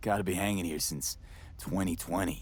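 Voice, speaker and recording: In a put-on character voice, a man speaks raspily at a moderate pace in a very deep, low pitch with fairly even intonation. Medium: video game. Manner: calm, curious.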